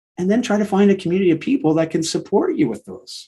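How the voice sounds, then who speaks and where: Over music in the background, a man with a Canadian accent talks at a moderate pace. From Canada. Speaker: recovery guest, sober father. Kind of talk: podcast interview. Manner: repetitive, halting starts.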